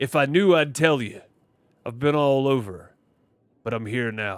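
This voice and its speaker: Someone speaks in a put-on character voice at a moderate pace. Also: man, medium pitch for a man. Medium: game stream. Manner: terse, dry.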